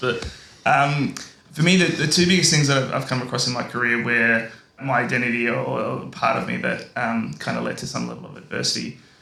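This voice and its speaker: The speech moves at a very fast pace with ordinary pitch variation. Noticeable background noise and audible room echo are present. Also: man. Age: 30s. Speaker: engineer in construction and operations. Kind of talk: panel discussion.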